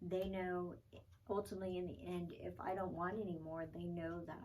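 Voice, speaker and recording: Audible room echo frames a woman's dark, mellow tone. She speaks at a moderate pace with a fairly low pitch and fairly even intonation. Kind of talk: personal vlog. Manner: halting, many fillers.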